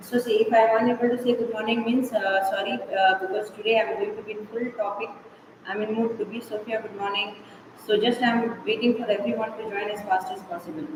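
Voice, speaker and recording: A woman talks at a very fast pace with a fairly high pitch and flat, monotone intonation. There is audible room echo and noticeable background noise. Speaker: school teacher. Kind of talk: online class lecture. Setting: online live class.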